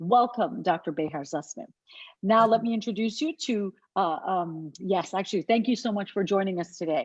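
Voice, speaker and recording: The intonation is lively. Behind it, the background stays quiet. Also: woman, medium pitch for a woman. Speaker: webinar moderator. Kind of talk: panel introductions. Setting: video call. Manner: fast.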